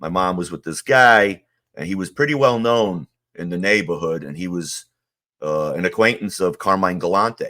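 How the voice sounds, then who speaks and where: A man's very deep, low voice in a New York accent, with big swings in loudness, ordinary pitch variation and a moderate pace, on a very clean recording with a silent background. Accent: New York (Queens). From US Northeast, Ridgewood, Queens, New York. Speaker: former mob associate. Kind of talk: interview testimony. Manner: casual, many fillers.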